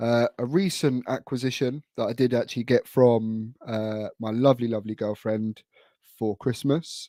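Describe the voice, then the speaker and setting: A man with a British accent at a fairly slow pace, medium pitch and ordinary pitch variation, his tone dark and mellow, the sound dry and close with no echo on a very clean recording with a silent background. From UK. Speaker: wrestling collector, YouTuber. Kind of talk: casual show-and-tell vlog. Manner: hesitant, many fillers.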